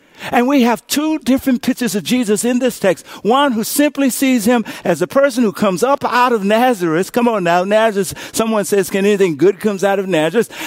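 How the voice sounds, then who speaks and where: A man's high-pitched, animated voice with lively intonation, fairly quick pace, hardly any pauses and very even loudness, in dry, close sound with no echo and noticeable background noise. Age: 50s. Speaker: pastor. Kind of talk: livestreamed sermon, call-and-response preaching to an online congregation. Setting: livestream broadcast. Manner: animated and rising, punctuated with call-outs like come on and somebody shout.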